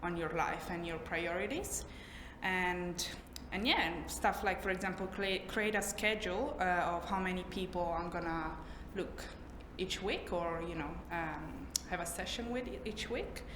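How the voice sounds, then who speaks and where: A woman with a non-native accent speaks at a moderate pace and a fairly low pitch. Audible room echo and noticeable background noise surround her. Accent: foreign. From Italy. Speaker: trainee therapist. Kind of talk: job interview. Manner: halting, many fillers.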